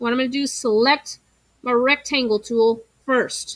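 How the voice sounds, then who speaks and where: A woman uses a raised, projected voice at a high pitch. Her tone is bright and sharp, her intonation fairly even. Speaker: teacher. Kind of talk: tutorial.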